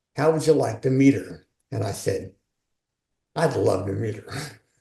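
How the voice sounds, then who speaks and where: A man's medium-pitched, somewhat breathy voice, dark and mellow in tone, with ordinary pitch variation. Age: 70s. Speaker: author and leadership coach. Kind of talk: interview.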